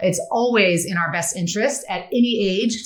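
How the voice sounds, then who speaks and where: A woman speaks in an animated tone amid noticeable background noise and audible room echo. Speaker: friendship expert and author. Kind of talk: podcast interview. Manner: fast.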